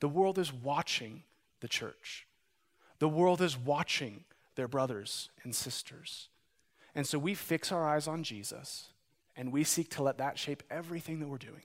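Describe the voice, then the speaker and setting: In a very clean recording with a silent background, a man with an American accent talks at a fairly slow pace in a normal speaking voice, his fairly high pitch showing ordinary variation. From Montana. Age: 30s. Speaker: pastor. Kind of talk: sermon.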